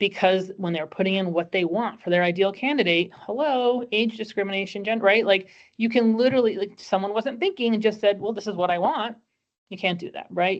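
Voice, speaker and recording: A woman with a New Jersey accent talks at a fairly quick pace, her medium pitch rising and falling in an ordinary way. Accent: New Jersey American. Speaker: employment lawyer. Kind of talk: webinar presentation. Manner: fast.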